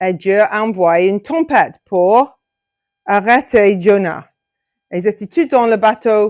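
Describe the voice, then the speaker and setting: Speaking at a very slow pace with long, frequent pauses, a woman uses ordinary pitch variation. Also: medium pitch for a woman. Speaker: Bible teacher for children. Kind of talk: Bible story for children. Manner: halting.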